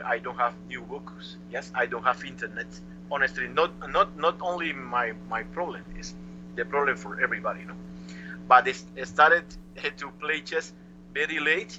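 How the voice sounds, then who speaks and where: A man speaks at a moderate pace with long, frequent pauses and big swings in loudness. Noticeable background noise runs behind him. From Cuba. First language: Spanish. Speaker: chess master. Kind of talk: interview answer. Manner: lively.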